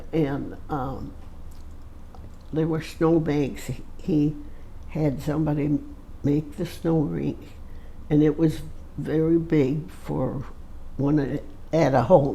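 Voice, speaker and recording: The delivery is very slow, with long, frequent pauses and monotone, flat intonation. Room echo is audible. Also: woman, very deep, low pitch for a woman. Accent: American. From Michigan, US Midwest. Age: 80s+. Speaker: centenarian interviewee. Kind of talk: casual interview. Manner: halting.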